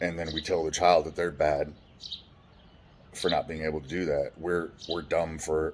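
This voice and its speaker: A man's resonant, very deep voice with an American accent. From California. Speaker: trauma survivor telling life story. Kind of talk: personal testimony monologue. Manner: loud, poorly modulated volume; halting, many restarts.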